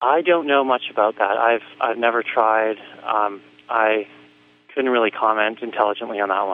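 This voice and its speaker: A man talks in an unremarkable speaking voice, medium in pitch, with ordinary pitch variation and a moderate pace. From Canada, Vancouver. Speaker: professional triathlete and author. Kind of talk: interview. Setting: radio show.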